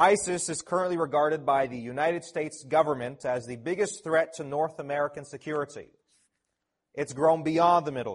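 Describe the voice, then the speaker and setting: Fairly quick and fairly high-pitched, a man with an unremarkable speaking voice keeps fairly even intonation while his loudness swings widely. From Canada, Toronto. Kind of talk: conference talk. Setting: conference audience.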